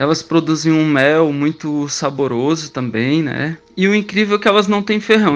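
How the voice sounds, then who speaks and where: A man's normal speaking voice, fairly high in pitch, at a fairly slow pace with ordinary pitch variation. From southern Brazil, Criciúma, Santa Catarina. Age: 30s. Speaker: stingless beekeeper, traffic officer. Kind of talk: radio interview.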